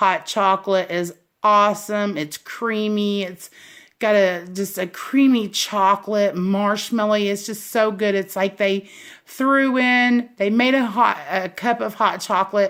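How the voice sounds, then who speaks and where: The speaker has a slight Southern US accent and a fairly slow pace. The intonation stays fairly even. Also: woman, medium pitch for a woman. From US South. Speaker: candle reviewer, YouTuber. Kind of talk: casual product review. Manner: rambling, hesitant with fillers.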